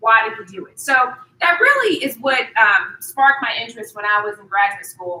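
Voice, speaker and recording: A woman with a slight Southern US accent speaks in a raised, projected voice. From US South, Durham, North Carolina. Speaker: accounting professor. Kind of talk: lecture.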